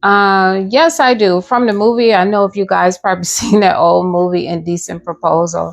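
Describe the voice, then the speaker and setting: The pace is moderate, with hardly any pauses. Pitch variation is ordinary. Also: woman, medium pitch for a woman. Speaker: live stream co-host. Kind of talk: casual live stream chat. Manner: soft-spoken.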